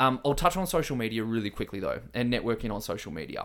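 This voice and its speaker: A man with an Australian accent and lively intonation, in a very clean recording with a silent background. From eastern Australia. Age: 30s. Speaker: fitness social media business owner. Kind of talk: casual interview chat.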